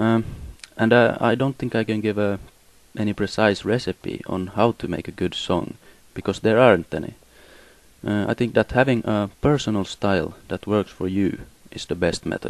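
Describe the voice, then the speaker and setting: A fairly low-pitched man with a Swedish accent, moderate in pace, with long, frequent pauses. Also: ordinary pitch variation. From Finland. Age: 20s. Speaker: musician. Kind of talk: personal statement. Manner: halting.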